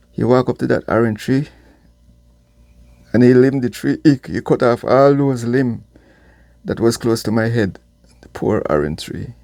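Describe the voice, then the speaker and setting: This man has a medium pitch and a dark, mellow tone, with ordinary pitch variation. He keeps a moderate pace on a very clean recording with a silent background. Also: long, frequent pauses. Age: 60s. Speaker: vlogger. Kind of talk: personal storytelling. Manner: halting.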